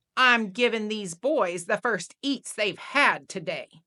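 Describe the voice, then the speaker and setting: A woman's put-on character voice, growling, fairly high in pitch, at a fairly slow pace with ordinary pitch variation. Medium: read story. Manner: dry, deadpan.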